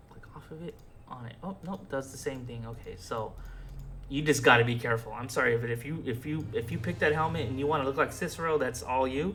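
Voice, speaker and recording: A man with a medium pitch talks at a very fast pace, with ordinary pitch variation and big swings in loudness. Music plays in the background. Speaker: video game modding tutor. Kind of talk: tutorial. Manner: hesitant, filler-heavy.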